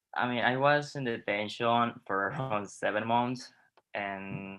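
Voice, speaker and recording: A man speaks with a non-native accent and a bright, sharp tone. His intonation stays fairly even. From Honduras. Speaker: LGBTQ asylum seeker. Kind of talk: personal testimony.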